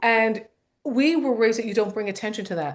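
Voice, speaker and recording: Her fairly high voice racing at a very fast pace, a woman speaks with ordinary pitch variation. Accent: American. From US. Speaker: comedian. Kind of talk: casual chat. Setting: podcast panel.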